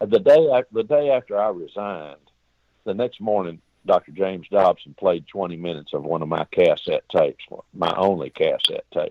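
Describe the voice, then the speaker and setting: A man with a Texan accent at a moderate pace. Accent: Texas Southern. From Texas, Austin. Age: 60s. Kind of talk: interview storytelling. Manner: animated, folksy.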